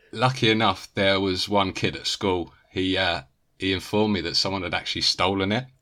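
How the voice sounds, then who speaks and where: A man with a British accent and a fairly low pitch speaks at a fairly quick pace with fairly even intonation, on a very clean recording with a silent background. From Britain. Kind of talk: casual chat.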